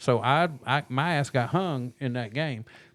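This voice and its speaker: In a very clean recording with a silent background, a man talks at a medium pitch with ordinary pitch variation in a normal speaking voice. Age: 60s. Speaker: podcast host. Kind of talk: casual chat.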